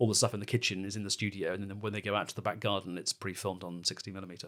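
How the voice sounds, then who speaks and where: The recording is very clean, with a silent background. A man with an English accent speaks very fast at a fairly low pitch in a monotone, flat delivery. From England. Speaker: comedy podcast host. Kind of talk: casual chat.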